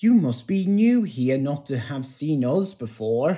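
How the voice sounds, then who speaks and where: Using a put-on character voice, a man speaks at a fairly slow pace with fairly high pitch. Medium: audio drama.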